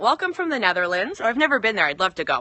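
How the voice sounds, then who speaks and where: With an American accent, a woman is talking. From US Northeast, northern New Jersey. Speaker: fitness coach. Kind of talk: casual live-stream chat. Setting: outdoors in backyard. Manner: fast.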